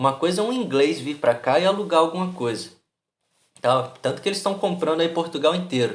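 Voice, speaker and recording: A man talks at a high pitch and a fairly quick pace. His intonation is lively. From Brazil. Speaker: YouTuber, immigrant vlogger. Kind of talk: casual vlog monologue. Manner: animated, colloquial.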